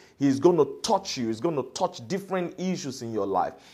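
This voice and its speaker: A man with a fairly high pitch and a dark, mellow tone uses vocal fry, his pitch swinging very widely. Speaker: preacher. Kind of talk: sermon with call-and-response. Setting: online church service. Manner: fervent, rousing, exhorting the congregation; repetitive, rhythmic, with hesitations and fillers.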